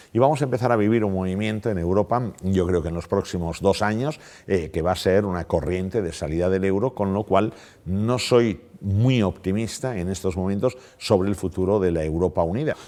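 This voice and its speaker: A man speaks at a moderate pace with fairly low pitch and ordinary pitch variation. His tone is dark and mellow. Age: 60s. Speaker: economics professor. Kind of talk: interview.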